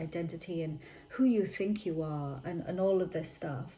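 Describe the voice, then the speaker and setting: A woman's fairly low-pitched voice at a moderate pace. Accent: British. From United Kingdom. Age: 20s. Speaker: manifestation content creator. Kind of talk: casual talk to camera. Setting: home, ambient freezer noise.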